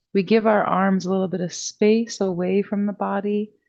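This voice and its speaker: A calm-toned woman of medium pitch at a fairly slow pace, in monotone, flat intonation. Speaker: yoga and meditation teacher. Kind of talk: guided meditation. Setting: studio with green screen. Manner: calm and slow.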